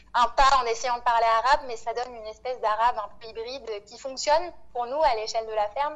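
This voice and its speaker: Speaking at a fairly quick pace, a woman has a normal speaking voice, fairly high in pitch, with fairly even intonation. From Réunion and mainland France. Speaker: farming collective member. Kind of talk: interview.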